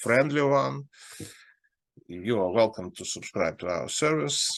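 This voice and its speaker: A man speaks against a quiet background, his pitch swinging very widely. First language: Russian. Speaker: investment advisor. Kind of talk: market analysis talk. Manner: halting.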